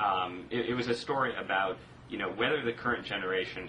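There is noticeable background noise as a man with an American accent talks at a very fast pace. His pitch is fairly low, with ordinary pitch variation. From US Northeast, southern Connecticut. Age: 20s. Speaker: magazine writer and blogger. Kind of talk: casual political debate. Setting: remote video call from an office.

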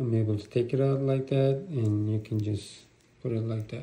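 Fairly low in pitch, a man speaks in a dark, mellow tone with fairly even intonation and audible room echo.

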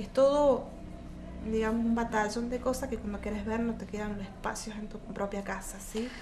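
Noticeable background noise sits behind a woman's fairly high voice. She keeps a moderate pace with monotone, flat intonation. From Argentina. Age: 40s. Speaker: mother and caregiver of a terminally ill child. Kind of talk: interview testimony. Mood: serious, emotional. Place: home room.

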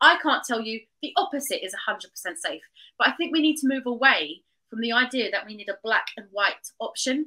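A woman with a high pitch and a bright, sharp tone speaks in a raised, projected voice at a fairly quick pace. Her intonation is lively, with big swings in loudness, over a quiet background. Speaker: traditional birth attendant and doula trainer; guest. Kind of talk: interview conversation. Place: home room. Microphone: video call.

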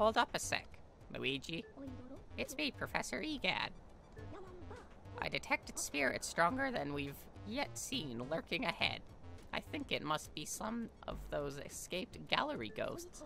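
A man uses a put-on character voice at a moderate pace with long, frequent pauses. Music plays clearly in the background. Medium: game stream. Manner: chatty, encouraging.

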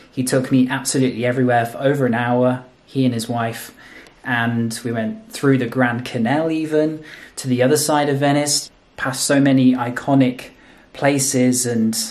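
Fairly even intonation marks a man's speech, which moves at a moderate pace. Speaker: travel vlogger. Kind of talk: casual vlog chat. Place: home room. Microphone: phone near.

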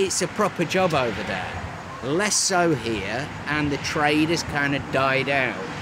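Noticeable background noise accompanies a man who talks at a very slow pace. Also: ordinary pitch variation. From northern England. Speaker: stonemason. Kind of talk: casual chat. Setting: outdoors. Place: open country.

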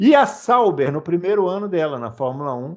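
Very wide pitch swings mark a man's moderately paced speech over a quiet background. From Brazil. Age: 40s. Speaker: podcast host. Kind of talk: casual chat. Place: home room. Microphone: headset.

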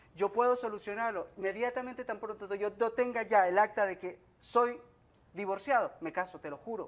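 A high-pitched man speaks with ordinary pitch variation and big swings in loudness. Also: moderate pace. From Colombia. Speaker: plaintiff on a TV court show. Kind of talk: testimony. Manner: halting.

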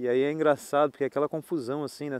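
With a dark, mellow tone at a fairly high pitch, a man speaks in a dry sound with no echo. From Brazil, Niterói (Rio de Janeiro); Brazil. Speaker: travel vlogger. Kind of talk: casual vlog chat.

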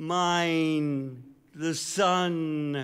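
Over a quiet background, a man with an American accent speaks at a fairly high pitch with fairly even intonation. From United States. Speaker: poet. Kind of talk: poetry reading. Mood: solemn, mournful. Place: stage. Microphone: studio mic.

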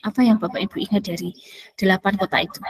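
A woman with a fairly high pitch and ordinary pitch variation is heard over a quiet background. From Magelang, Central Java. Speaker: community organizer and emcee. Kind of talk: webinar presentation. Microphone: headset.

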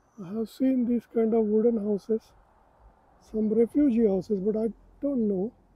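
A man with a Marathi accent and a high pitch speaks at a moderate pace with fairly even intonation and long, frequent pauses. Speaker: travel vlogger. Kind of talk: casual walking vlog. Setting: outdoors.

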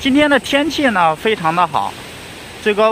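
The recording sounds dry with no echo and has light background noise. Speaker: vlogger. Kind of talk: casual talk to camera. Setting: outdoors. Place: beach. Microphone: phone near.

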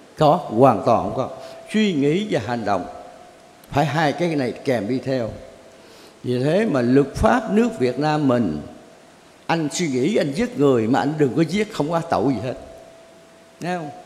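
A man talks at a fairly slow pace, leaving long, frequent pauses. His pitch swings very widely. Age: 80s+. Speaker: Buddhist teacher answering questions. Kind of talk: religious Q&A session. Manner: rambling, conversational. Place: hall.

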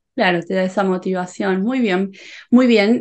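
A woman is speaking. She has a Rioplatense accent. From Rioplatense region (Argentina/Uruguay). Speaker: Spanish teacher youtuber; interviewer, Spanish teacher. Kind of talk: interview. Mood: warm, friendly. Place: home room. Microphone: video call.

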